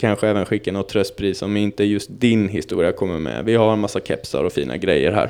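A man with vocal fry speaks at a fairly quick pace, his fairly low pitch showing ordinary variation. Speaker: podcast host. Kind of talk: scripted narration; casual chat.

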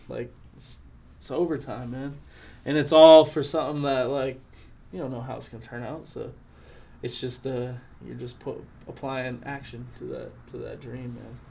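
A medium-pitched man with an American accent, dark and mellow in tone, at a moderate pace with fairly even intonation, long frequent pauses and audible room echo. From Montana, Flathead Indian Reservation. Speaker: rapper. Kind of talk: casual chat.

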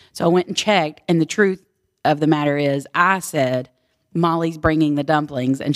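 This woman has a very deep, low pitch and ordinary pitch variation. She speaks with a Texan accent. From Texas, Houston. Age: 40s. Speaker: small business owner. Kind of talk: casual chat. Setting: farmhouse basement.

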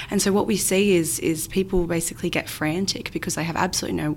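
Speaking fairly quickly with fairly even intonation, a woman with an Australian accent and fairly low pitch is heard over noticeable background noise. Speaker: aged care financial adviser. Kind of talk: interview.

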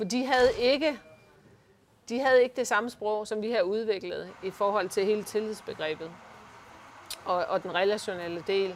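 Pausing long and often, a woman speaks at a fairly slow pace with a fairly high pitch. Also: ordinary pitch variation. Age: 50s. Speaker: leadership consultant. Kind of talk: interview. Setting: office by the harbour.

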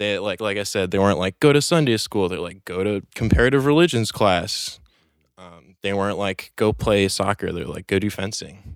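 On a very clean recording with a silent background, a man with an American accent speaks at a moderate pace in a fairly low pitch, with ordinary pitch variation and big swings in loudness. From Chelsea, Manhattan, New York City. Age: 20s. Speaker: cannabis social media coordinator. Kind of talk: casual chat. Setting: studio.

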